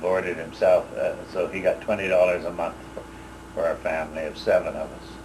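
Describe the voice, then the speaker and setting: Speaking fairly quickly, a man talks in a Canadian prairie accent. Noticeable background noise is present. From Saskatchewan, Canada. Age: 60s. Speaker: war veteran. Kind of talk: oral history interview. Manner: halting, many fillers.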